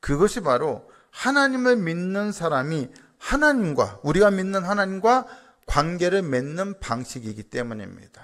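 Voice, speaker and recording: Here a man speaks with a high pitch and very wide pitch swings. His pace is fairly slow. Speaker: pastor. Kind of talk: sermon. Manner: animated.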